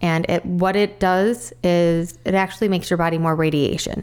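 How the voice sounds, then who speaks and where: With an American accent, a woman speaks in an unremarkable speaking voice at a fairly low pitch, using fairly even intonation at a moderate pace. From US Midwest, northern Illinois. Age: 40s. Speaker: cancer survivor. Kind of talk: interview.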